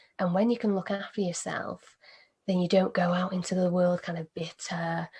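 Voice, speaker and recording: A woman speaks at a medium pitch in a calm tone. Her intonation stays monotone and flat. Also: moderate pace. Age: 20s. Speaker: meditation teacher. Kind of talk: interview.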